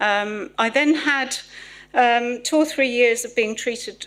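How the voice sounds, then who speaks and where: A woman talks with a southern English accent. Her pace is fairly slow and her intonation lively. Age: 60s. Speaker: patient speaker. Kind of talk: testimony.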